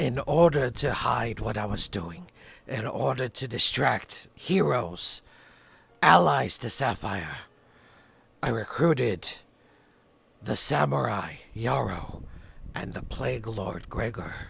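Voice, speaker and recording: Using a raspy, put-on character voice at medium pitch, a man speaks at a fairly slow pace with long, frequent pauses. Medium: solo performance. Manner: quiet, earnest, halting.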